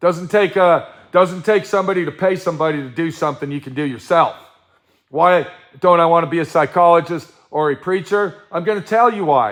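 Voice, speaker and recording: Loud and high-pitched, a man with an American accent talks at a fairly quick pace with ordinary pitch variation. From Colorado. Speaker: livestream host, self-employed artist. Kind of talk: casual livestream chat reading viewer comments. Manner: animated, ranting.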